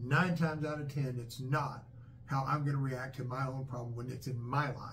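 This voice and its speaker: Audible room echo surrounds a man talking at a moderate pace. His voice is somewhat breathy. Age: 60s. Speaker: father, channel host. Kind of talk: casual chat. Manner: halting, repetitive fillers.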